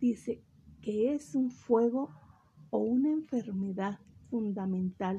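A woman speaks very slowly, with long, frequent pauses and lively intonation. Her fairly high voice is somewhat breathy with a dark, mellow tone. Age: 50s. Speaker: religious program host, theology graduate. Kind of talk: lecture.

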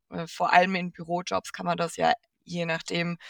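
Dry and close with no echo, the audio captures speech delivered at a moderate pace. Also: woman. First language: not German (speaking German). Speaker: podcast co-host and producer. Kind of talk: casual chat.

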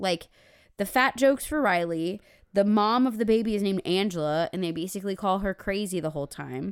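A woman with a normal speaking voice talks at a fairly quick pace, medium in pitch and lively in intonation, on a very clean recording with a silent background. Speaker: podcast co-host. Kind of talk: casual chat.

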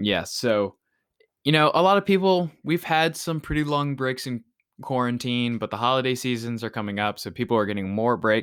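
With lively intonation and a plain, everyday voice, a man talks at medium pitch and a moderate pace in a dry, close sound with no echo. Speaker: podcast host. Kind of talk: casual chat.

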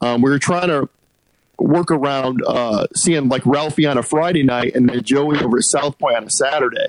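A man with an American accent talks in a normal speaking voice, fairly high in pitch, with ordinary pitch variation, very even loudness and a moderate pace. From US Northeast. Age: 40s. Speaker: podcast host. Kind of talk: casual chat. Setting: phone call.

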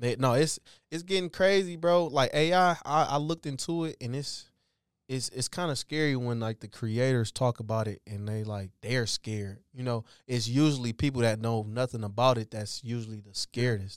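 An American-accented man has an unremarkable speaking voice at medium pitch, lively intonation and a moderate pace. The sound is dry and close with no echo, on a very clean recording with a silent background. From Detroit, Michigan. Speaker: professional football player. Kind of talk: casual chat.

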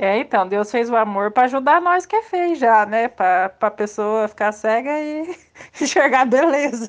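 A shrill woman's voice with lively intonation. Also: fairly high pitch for a woman, moderate pace. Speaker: old schoolmate organizing reunion. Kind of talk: casual group chat.

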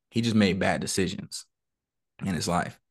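Over a quiet background, a man with a plain, everyday voice speaks at a moderate pace and a fairly low pitch, with ordinary pitch variation. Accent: American. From Southern California (San Bernardino). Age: 30s. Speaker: Air Force veteran and motivational speaker. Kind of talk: casual interview chat.

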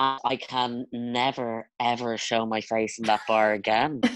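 In an Irish accent, a man with a medium pitch speaks at a very slow pace in a flat monotone, his loudness very even against a quiet background. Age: 20s. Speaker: podcast guest. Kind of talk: casual chat.

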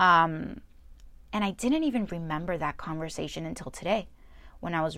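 A woman's unremarkable speaking voice with an American accent, fairly low in pitch, at a moderate pace, on a very clean recording with a silent background. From New Jersey. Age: 20s. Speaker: podcast host. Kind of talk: personal monologue.

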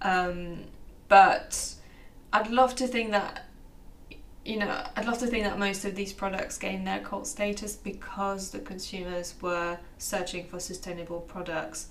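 Noticeable background noise sits behind a woman talking at a medium pitch. She goes at a fairly slow pace with ordinary pitch variation. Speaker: fashion reporter. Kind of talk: casual interview chat. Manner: casual, hesitant with fillers.

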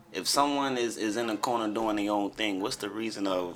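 A man with a normal speaking voice talks at a moderate pace, his fairly low pitch following fairly even intonation. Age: 30s. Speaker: poet and vegan childhood friend of host. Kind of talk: casual chat.

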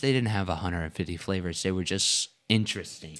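A very clean recording with a silent background, in an American accent. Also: man. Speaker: family podcast host. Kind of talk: casual chat. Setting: studio.

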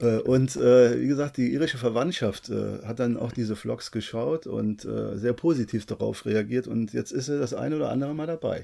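A man talks at a moderate pace, with hardly any pauses. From Koblenz, Germany. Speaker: travel vlogger. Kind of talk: casual chat.

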